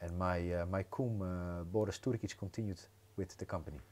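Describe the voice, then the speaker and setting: A man with a Dutch accent and ordinary pitch variation, on a very clean recording with a silent background. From Netherlands. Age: 30s. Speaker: entrepreneur. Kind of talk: podcast interview.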